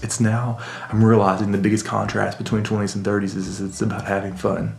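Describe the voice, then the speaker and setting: Whispering at a fairly quick pace, a man is heard with audible room echo and noticeable background noise. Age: 30s. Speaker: vlogger. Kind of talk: casual monologue. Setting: home basement. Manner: reflective, halting.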